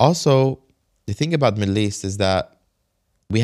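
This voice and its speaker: Over a silent background in a very clean recording, a man with an American accent speaks at a fairly low pitch with lively intonation. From Kuwait / US. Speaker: businessman and reality TV cast member. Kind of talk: casual interview conversation.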